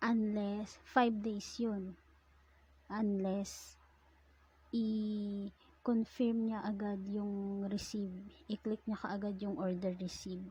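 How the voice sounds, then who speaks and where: At a very slow pace, a woman holds a medium pitch in a monotone, flat delivery. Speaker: online seller. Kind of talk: casual tutorial talk over screen recording.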